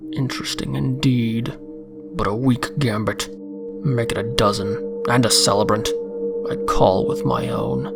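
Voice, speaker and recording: Loud music plays in the background as a man does a put-on character voice at a medium pitch and a moderate pace. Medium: read story. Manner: boisterous, mocking.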